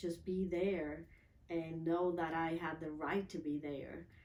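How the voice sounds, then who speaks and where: Noticeable background noise sits behind this recording. A woman with a fairly low pitch speaks at a fairly slow pace with ordinary pitch variation. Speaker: transformational coach. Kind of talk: interview testimony.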